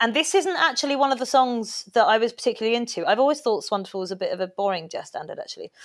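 A woman's animated, fairly high voice with very wide pitch swings and an English accent, at a very fast pace on a very clean recording with a silent background. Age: 30s. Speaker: singer and podcast guest. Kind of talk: casual chat.

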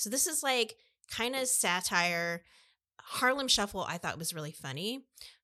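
A woman's fairly high, bright and sharp voice swings very widely in pitch at a moderate pace, on a very clean recording with a silent background. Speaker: podcast host and bookstore co-owner. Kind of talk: casual chat about books. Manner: quieter than her co-host.

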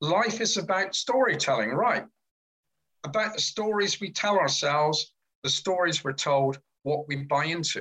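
A man talks at a fairly slow pace with a high pitch, a bright, sharp tone, and lively intonation. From Cornwall, England. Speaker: former defence journalist and communications director. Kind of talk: interview.

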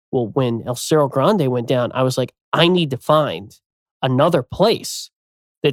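A man's fairly high, normal speaking voice in an American accent, with lively intonation and a moderate pace, on a very clean recording with a silent background and a dry, close sound with no echo. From Kansas City area, US Midwest. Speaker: podcast host, former amusement park games manager. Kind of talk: casual chat.

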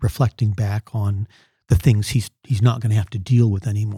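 On a very clean recording with a silent background and a dry, close sound with no echo, a man speaks at a medium pitch, somewhat breathy, with fairly even intonation. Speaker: panel guest. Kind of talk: casual discussion. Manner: hesitant, repeating words.

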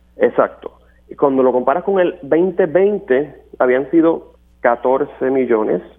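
Over noticeable background noise, a man speaks at a very slow pace with a fairly high pitch. His loudness holds very even while his intonation stays lively. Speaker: legislator. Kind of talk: radio interview.

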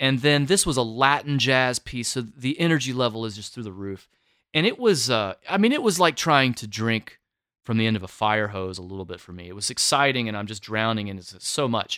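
On a very clean recording with a silent background, a man with an American accent talks fairly quickly at a medium pitch, with lively intonation, a bright, sharp tone and big swings in loudness. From US South, South Carolina. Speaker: jazz drummer. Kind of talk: casual chat.

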